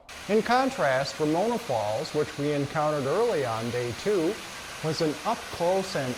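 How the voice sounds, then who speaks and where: A man's fairly high pitch with very wide pitch swings at a moderate pace, with audible room echo and noticeable background noise. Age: 70s. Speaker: hiker and vlogger. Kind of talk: scripted narration.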